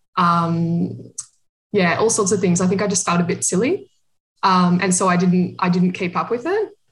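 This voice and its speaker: A woman speaks in a somewhat breathy voice. Her intonation is monotone and flat. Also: medium pitch for a woman, moderate pace, very even loudness. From Australia. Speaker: amateur runner. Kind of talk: casual chat.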